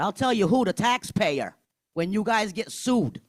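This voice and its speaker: A loud man with an American accent, fairly quick, with lively intonation and an animated tone. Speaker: parent speaking at public comment. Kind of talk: public comment at school board meeting.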